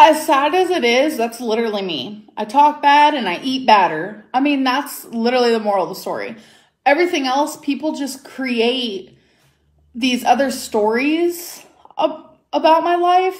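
In an American accent, a woman speaks at a high pitch and a fairly slow pace with lively intonation. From US. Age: 20s. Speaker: YouTuber. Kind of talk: casual chat. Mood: defensive, irritated. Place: home room. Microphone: phone near.

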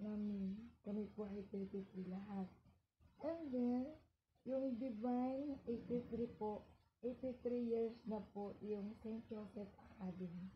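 A woman speaks at a very slow pace with ordinary pitch variation over light background noise. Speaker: school teacher. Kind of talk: casual vlog chat, unboxing show-and-tell. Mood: cheerful, laughing. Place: home room. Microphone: phone near.

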